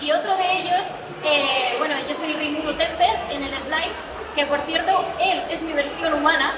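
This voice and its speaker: Over loud background noise, a woman talks at a fairly slow pace. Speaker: voice actress panelist. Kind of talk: panel talk. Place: hall.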